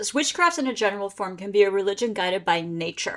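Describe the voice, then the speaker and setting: In a normal speaking voice, a woman with an American accent speaks at a medium pitch with lively intonation on a very clean recording with a silent background. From Pennsylvania. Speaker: history and paranormal tour guide. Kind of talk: casual interview.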